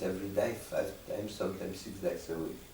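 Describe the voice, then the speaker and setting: A man talks at a fairly quick pace, with noticeable background noise and audible room echo. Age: 90s. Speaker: Holocaust survivor and testimony archivist. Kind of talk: interview testimony.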